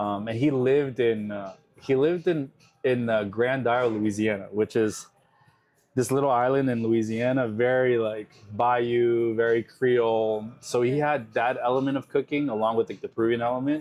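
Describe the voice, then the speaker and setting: With an American accent, a man has a plain, everyday voice at a medium pitch, speaking at a moderate pace with fairly even intonation. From New York, US. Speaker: chef. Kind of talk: interview. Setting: in a restaurant.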